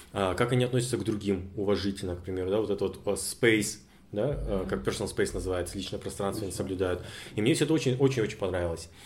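Fairly low in pitch and somewhat breathy, a man speaks at a very fast pace with ordinary pitch variation. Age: 20s. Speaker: podcast co-host. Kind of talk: casual podcast conversation.

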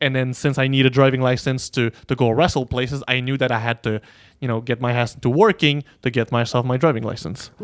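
Talking at a very fast pace, a man has a French accent and medium pitch. The recording is dry and close, with no echo. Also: fairly even intonation. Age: 20s. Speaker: professional wrestler. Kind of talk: casual chat.

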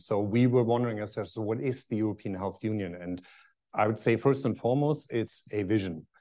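With a German accent, a man speaks at a medium pitch in a dark, mellow tone over a quiet background. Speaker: pharmaceutical executive. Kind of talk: panel talk. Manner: hesitant, many fillers.

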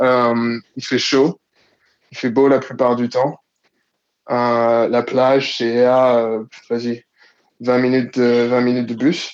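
Very slow speech with long, frequent pauses and monotone, flat intonation. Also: man, medium pitch for a man. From Ivory Coast. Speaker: listener guest. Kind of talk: casual chat.

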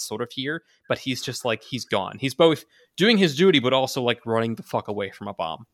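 Over a quiet background, the plain reading aloud carries lively intonation.

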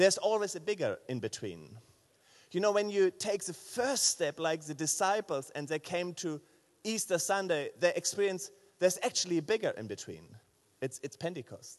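With a German accent and lively intonation, a man speaks at a moderate pace in a high pitch. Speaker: pastor. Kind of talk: sermon. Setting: church. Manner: halting.

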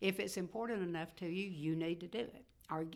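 A woman's fairly low voice with a Mississippi accent. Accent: Southern US (Mississippi). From northeast Mississippi, US South. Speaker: retired newspaper executive and community leader. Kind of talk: interview.

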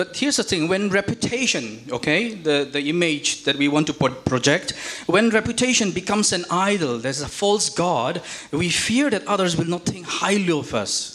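Noticeable background noise sits behind a man talking at a fairly slow pace. His voice is high, with very wide pitch swings. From India. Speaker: visiting preacher. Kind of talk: sermon. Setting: church.

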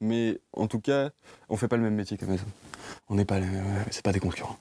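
Monotone and flat in intonation, a man speaks at a fairly low pitch in a dry, close sound with no echo. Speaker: bookseller. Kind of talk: interview. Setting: bookshop stockroom.

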